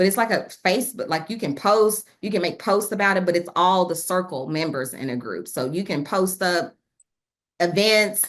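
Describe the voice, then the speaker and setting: Background is quiet as a woman speaks at a medium pitch. Her pitch varies in an ordinary way. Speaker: trainer for a nonprofit network. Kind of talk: virtual training presentation. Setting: video call. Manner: fast; casual, energetic.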